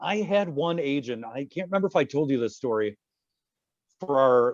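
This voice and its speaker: A man's medium-pitched voice with a Midwestern accent, fairly quick and lively in intonation. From Michigan, east side near Detroit. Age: 40s. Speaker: podcast host. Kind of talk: casual chat.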